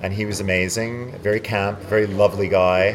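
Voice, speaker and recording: At a moderate pace, a man with a Canadian accent speaks at a fairly low pitch against noticeable background noise. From Montreal, Quebec, Canada. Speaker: actor. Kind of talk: interview. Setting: convention floor.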